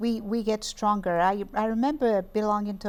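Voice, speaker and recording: In a very clean recording with a silent background, a woman talks with a non-native accent. Her pitch is medium, her intonation fairly even, and her pace fairly quick. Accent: foreign. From Guinea-Bissau, West Africa. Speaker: TV talk show host. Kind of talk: interview. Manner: halting.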